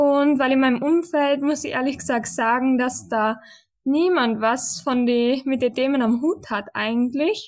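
On a very clean recording with a silent background, a woman speaks fairly slowly in a high voice, with ordinary pitch variation and very even loudness. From western Austria. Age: 20s. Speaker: podcast co-host, student. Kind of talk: casual chat.

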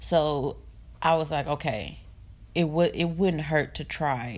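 A woman with a very deep, low voice speaks with vocal fry and fairly even intonation. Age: 20s. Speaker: podcast host and college student. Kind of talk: casual personal monologue, faith testimony. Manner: unscripted, conversational with fillers.

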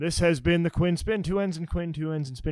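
An energetic man with a high pitch and an American accent is heard on a very clean recording with a silent background. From New Jersey. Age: 30s. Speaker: podcast host. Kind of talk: casual interview chat. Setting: studio. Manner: energetic show-host delivery.

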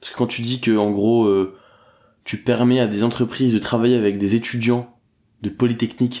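This is a man's dark, mellow tone at a medium pitch with fairly even intonation. He speaks at a fairly slow pace on a very clean recording with a silent background. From northern France (Dunkirk). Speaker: entrepreneur. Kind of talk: casual interview.

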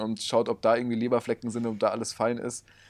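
A man at medium pitch, speaking at a very fast pace. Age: 20s. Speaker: podcast co-host. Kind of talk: casual chat. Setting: in person, same room.

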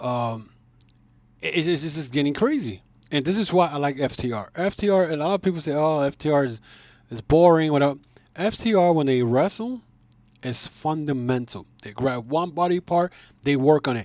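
A man with a plain, everyday voice, fairly high pitch and lively intonation, at a moderate pace with an American accent. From New York City. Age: 50s. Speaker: wrestling podcast host. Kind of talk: solo commentary podcast.

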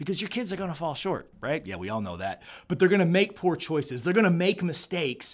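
Loud and animated, a man talks at a very fast pace in a high voice for a man with lively intonation, on a very clean recording with a silent background. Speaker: podcast host. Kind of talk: motivational talk.

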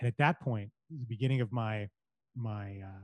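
A somewhat breathy man with a Canadian accent is heard in a dry, close sound with no echo. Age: 40s. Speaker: storyteller in corporate marketing. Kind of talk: podcast interview. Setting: video call.

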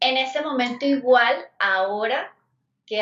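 A woman is talking. Her voice is fairly high in pitch. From Venezuela. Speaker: guest sharing recovery story. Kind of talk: testimony.

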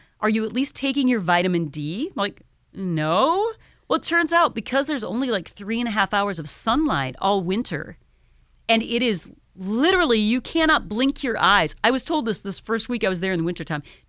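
Over a silent background in a very clean recording, a woman with an American accent speaks in a fairly high voice with very wide pitch swings. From Iowa. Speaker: radio station manager. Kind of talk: casual interview chat. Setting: radio studio.

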